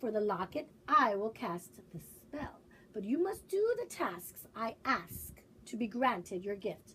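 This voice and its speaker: Using a put-on character voice, a woman speaks at a fairly high pitch and a fairly slow pace. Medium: read story. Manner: gruff, curt.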